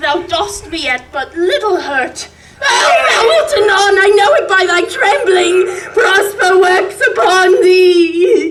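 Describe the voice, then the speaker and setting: An extremely high-pitched, put-on character voice moves at a fairly slow pace. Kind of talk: Shakespearean stage acting. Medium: stage play. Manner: fearful, groveling.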